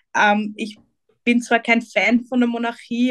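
A woman speaks at a fairly high pitch with monotone, flat intonation. The sound is dry and close, with no echo. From Vienna, Austria. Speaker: political activist. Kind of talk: interview.

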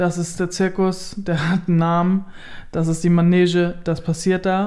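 Speaking at a fairly slow pace, a woman has a fairly low pitch, a dark, mellow tone and a flat, monotone delivery. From northern Germany, Kellinghusen, Steinburg district. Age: 30s. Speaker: blogger and influencer on rural life. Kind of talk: casual interview. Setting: holiday flat at her home.

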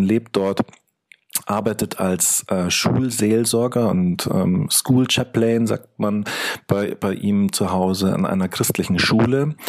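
The pace is very slow. The pitch shows ordinary variation. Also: man. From Munich, Germany. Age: 40s. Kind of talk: interview. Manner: halting, many fillers.

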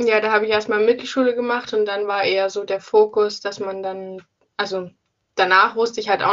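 The speaker is a woman with a medium pitch. She keeps a flat, monotone delivery. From Saxony, near Leipzig. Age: 20s. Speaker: engineering student. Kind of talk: casual interview. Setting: phone call.

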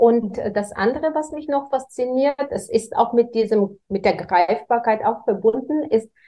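A woman with a Bulgarian accent talks at a fairly slow pace. Her fairly high voice has lively intonation. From Bulgaria, Varna. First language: Bulgarian (speaking German). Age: 40s. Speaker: real estate executive. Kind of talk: interview.

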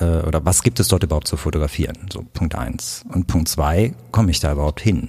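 With a dark, mellow tone and ordinary pitch variation, a man speaks at a moderate pace. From Germany, Königswinter (Rhineland). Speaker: photographer. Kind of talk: interview.

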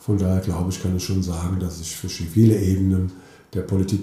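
Very fast and somewhat breathy, a man speaks with a very deep, low pitch and a dark, mellow tone amid audible room echo. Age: 50s. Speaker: mayor. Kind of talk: interview.

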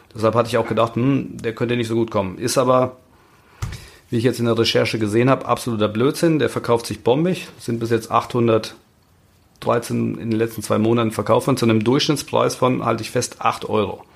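Vocal fry runs through a man's medium-pitched voice. He talks at a fairly quick pace with fairly even intonation. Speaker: toy investing expert. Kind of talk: casual chat. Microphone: new microphone.

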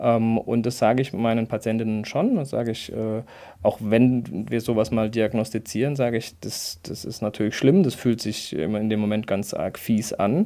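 Over a very clean, silent background, a man speaks with a dark, mellow tone at medium pitch. His pace is moderate and his pitch variation ordinary. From Karlsruhe area, Baden. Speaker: gynecologist and obstetrician. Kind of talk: expert interview.

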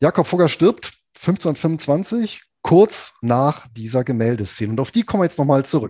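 A dark, mellow tone with very wide pitch swings at a fairly slow pace, in a dry, close sound with no echo and a quiet background. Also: man, fairly high pitch for a man. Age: 40s. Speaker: finance blogger and podcast co-host. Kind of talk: history storytelling podcast chat.

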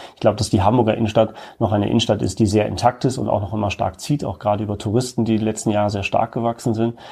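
On a very clean recording with a silent background, a man talks at a very fast pace, with a dark, mellow tone, vocal fry, a fairly low pitch and fairly even intonation. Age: 30s. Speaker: retail executive. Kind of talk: interview.

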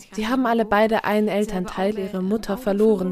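A woman with a dark, mellow tone speaks at a fairly quick pace, her medium pitch held in fairly even intonation. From Flanders, Belgium (Kempen region). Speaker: novelist. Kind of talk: interview. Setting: at home in Brussels.

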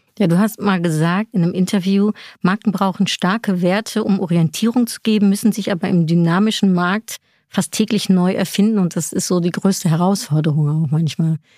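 A woman with a normal speaking voice at medium pitch, a fairly quick pace and fairly even intonation, in a very clean recording with a silent background and a dry, close sound with no echo. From Netherlands. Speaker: podcast host. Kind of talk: interview.

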